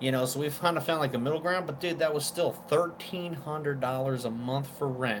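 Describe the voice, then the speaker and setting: A man with an American accent talks at a fairly quick pace. His intonation is lively, and there is noticeable background noise. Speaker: vape reviewer. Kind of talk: casual chat. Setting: live stream.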